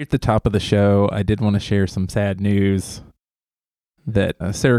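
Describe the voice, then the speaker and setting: A man's dark, mellow, fairly low voice in a Southern US accent at a fairly slow pace, on a very clean recording with a silent background and dry, close sound with no echo. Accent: southern twang. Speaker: podcast host and university staff. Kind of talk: casual chat.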